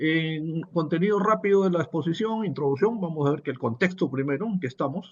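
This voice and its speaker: The voice is somewhat breathy, with very wide pitch swings. It moves at a fairly quick pace. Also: man. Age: 60s. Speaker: business professor. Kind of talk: webinar lecture. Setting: online webinar.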